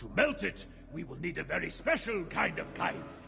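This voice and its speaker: Fairly slow put-on character voice from a man, clear music in the background. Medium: video game. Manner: hearty, grandiose.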